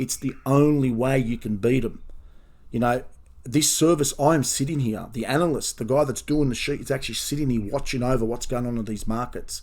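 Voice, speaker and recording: A man talks in an Australian accent with fairly even intonation. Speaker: professional horse racing bettor and tipster. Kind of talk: video review of race results, talking to subscribers. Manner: fast.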